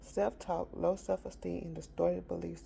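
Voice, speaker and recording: A woman speaks loudly at a moderate pace. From rural area. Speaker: motivational vlogger. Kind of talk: casual talk.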